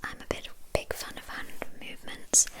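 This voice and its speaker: A woman whispers in a relaxed tone over noticeable background noise. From England. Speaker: ASMR creator. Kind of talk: chatty whispered ASMR Q&A. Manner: soft-spoken, whispering, relaxed.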